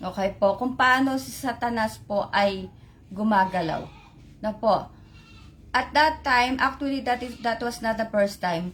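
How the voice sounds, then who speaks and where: Fairly slow speech from a woman, fairly high in pitch with ordinary pitch variation. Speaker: lay preacher. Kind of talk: religious sharing on live stream. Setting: Facebook live stream. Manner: code-switching Tagalog-English, halting with fillers.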